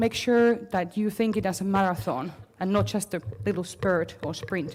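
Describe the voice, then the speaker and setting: At a moderate pace, a woman talks with a normal speaking voice, medium in pitch, with ordinary pitch variation. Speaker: marketing consultant. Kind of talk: conference talk.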